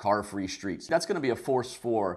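The speaker has an ordinary speaking voice and lively intonation at a moderate pace. The background is quiet. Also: man. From Western Canada. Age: 50s. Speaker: podcast host, urban designer. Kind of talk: casual conversation. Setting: video call.

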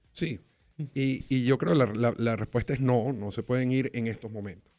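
With fairly even intonation, a man's medium-pitched voice comes across dark and mellow. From Venezuela. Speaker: sports lawyer. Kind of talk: casual chat.

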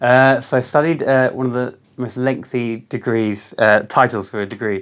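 At a moderate pace, a man with an unremarkable speaking voice shows ordinary pitch variation on a very clean recording with a silent background. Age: 20s. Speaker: restaurant founder. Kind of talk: interview.

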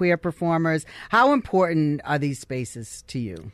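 An ordinary speaking voice: a woman with a fairly low pitch and lively intonation talks at a moderate pace against a quiet background. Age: 20s. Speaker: radio host. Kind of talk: interview. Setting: studio.

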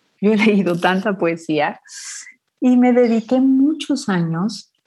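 A woman speaks in a dark, mellow tone with lively intonation. The background is quiet. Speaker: poet and children's author. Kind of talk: interview. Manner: sweet yet powerful reading voice.

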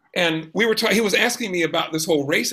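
An American-accented man with a bright, sharp tone and vocal fry talks at a moderate pace, his fairly high pitch showing ordinary pitch variation. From US South, South Georgia. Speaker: jazz pianist and life coach. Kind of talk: casual chat.

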